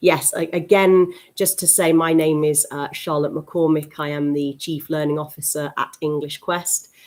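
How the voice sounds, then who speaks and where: Very deep and low in pitch, a woman speaks in a British accent with monotone, flat intonation. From UK. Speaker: teacher trainer. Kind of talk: webinar presentation. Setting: live stream webinar. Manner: hesitant with many fillers.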